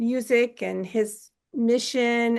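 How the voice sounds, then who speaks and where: Intonation stays monotone and flat against a quiet background. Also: woman. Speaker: podcast host. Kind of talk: interview host talk.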